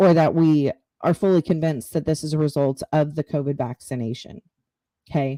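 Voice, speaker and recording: A woman speaks at a fairly quick pace with a very deep, low pitch. Her tone is dark and mellow, and her intonation stays fairly even. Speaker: podcast host. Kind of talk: live-streamed podcast monologue. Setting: home live stream. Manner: halting, stuttering.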